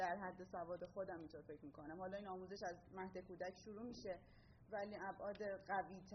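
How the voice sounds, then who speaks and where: Audible room echo and noticeable background noise surround a woman's voice. She speaks at a fairly quick pace with a medium pitch. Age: 20s. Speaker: urban planning graduate. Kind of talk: conference presentation. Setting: stage with audience.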